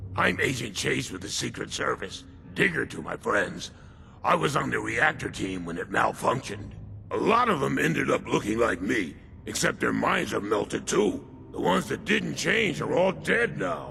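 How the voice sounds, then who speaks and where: Against clear background noise, a man does a put-on character voice at a moderate pace. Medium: video game. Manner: nervous, chatty.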